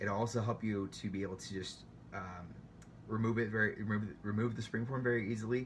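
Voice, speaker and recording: Talking at a very fast pace with vocal fry, a man has fairly low pitch and ordinary pitch variation. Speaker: home baker sharing tips. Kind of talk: tutorial. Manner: hesitant, many fillers.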